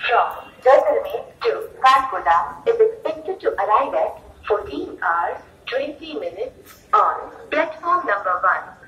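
With audible room echo, a woman speaks at an extremely high pitch, her voice making very wide pitch swings. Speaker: railway station announcer. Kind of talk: train station announcement. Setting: PA system. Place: station. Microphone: pa.

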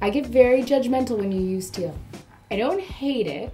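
Light background noise is present. A woman talks at a fairly quick pace. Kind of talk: reaction commentary. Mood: playful, sarcastic, judgmental. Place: home room.

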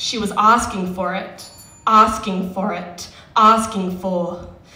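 A woman speaks at a very slow pace in a monotone, flat intonation. Audible room echo surrounds her voice. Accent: Australian. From Western Australia. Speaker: slam poet. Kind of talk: slam poetry performance. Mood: grave, emotional. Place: stage. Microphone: handheld.

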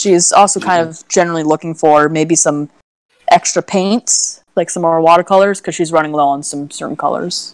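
In an unremarkable speaking voice, a woman talks at a moderate pace and a fairly low pitch with fairly even intonation and big swings in loudness, the sound dry with no echo over a quiet background. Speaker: tabletop role-play player. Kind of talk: tabletop role-play live stream. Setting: live stream voice chat. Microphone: video call.

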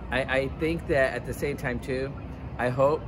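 Noticeable background noise behind a man's moderately paced speech with fairly even intonation. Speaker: interviewee. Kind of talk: street interview answer. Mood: concerned, earnest. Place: street. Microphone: phone near.

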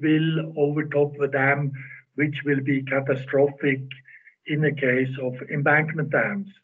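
A man talks at a very slow pace with fairly even intonation against a quiet background. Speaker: presenter. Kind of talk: lecture. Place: home room. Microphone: video call.

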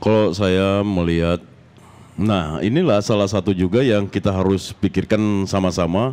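A man talks in an ordinary speaking voice, fairly low in pitch and at a moderate pace. His loudness is very even, and the background is quiet. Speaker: reggae musician. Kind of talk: casual interview.

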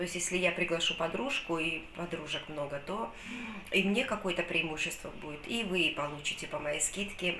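Amid light background noise and audible room echo, a woman talks at a moderate pace, her fairly low pitch varying an ordinary amount. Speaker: vlogger. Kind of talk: casual vlog chat. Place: kitchen. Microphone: phone near.

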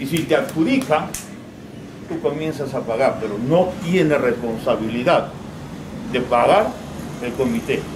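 Over noticeable background noise, a man with a fairly high pitch speaks at a fairly slow pace with ordinary pitch variation and long, frequent pauses. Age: 60s. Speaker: regional government official. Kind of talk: public meeting speech. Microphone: camera far.

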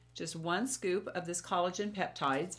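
A woman talks at a moderate pace. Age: 60s. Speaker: beauty and lifestyle YouTuber. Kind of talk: product review vlog. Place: home room.

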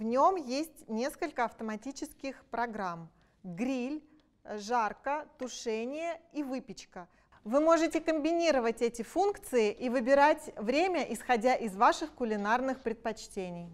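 With lively intonation and a high pitch, a woman speaks at a fairly slow pace against a quiet background. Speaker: product presenter. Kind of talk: sales pitch. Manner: enthusiastic. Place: kitchen. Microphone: lapel.

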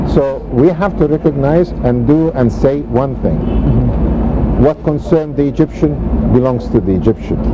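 Loud background noise sits behind a man talking at a moderate pace. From Egypt. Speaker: planning and development expert. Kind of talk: TV interview. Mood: firm, earnest political views. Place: waterside. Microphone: lapel.

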